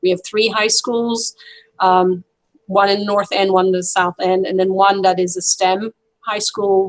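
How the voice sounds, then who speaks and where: A woman's monotone, flat delivery at a fairly slow pace, dry and close with no echo. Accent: French. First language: French. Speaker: French teacher. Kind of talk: video call introduction.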